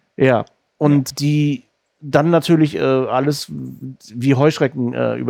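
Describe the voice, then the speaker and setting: A medium-pitched man's voice with a dark, mellow tone, ordinary pitch variation and a slight northern German accent. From northern Germany, Rostock. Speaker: podcast host. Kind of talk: interview.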